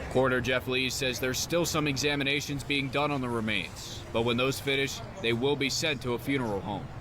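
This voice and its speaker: At a fairly quick pace with hardly any pauses, a man speaks with fairly even intonation against noticeable background noise. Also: medium pitch for a man. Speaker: TV news reporter. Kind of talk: TV news report.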